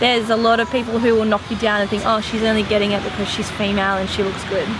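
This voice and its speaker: A woman talks at a very fast pace in a fairly high pitch, her intonation flat and monotone. Noticeable background noise and audible room echo fill the recording. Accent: Australian. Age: 20s. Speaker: DJ and schoolteacher. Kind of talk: interview.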